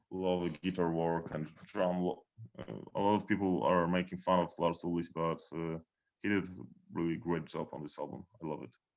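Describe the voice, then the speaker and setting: A man with a Polish accent, very deep and low in pitch, at a moderate pace with monotone, flat intonation against a quiet background. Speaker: metal band founder. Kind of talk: interview. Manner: halting.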